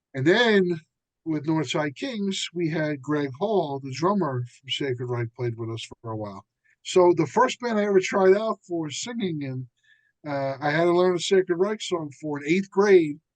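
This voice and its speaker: A man with a New Jersey accent speaks with lively intonation and big swings in loudness. The sound is dry and close, with no echo. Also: fairly high pitch for a man, moderate pace. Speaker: musician and author. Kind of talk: casual chat. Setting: podcast.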